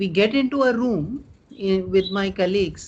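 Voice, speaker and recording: The speaker uses lively intonation at a fairly slow pace over noticeable background noise. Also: man. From India, Delhi. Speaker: author and tech research leader. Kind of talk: interview.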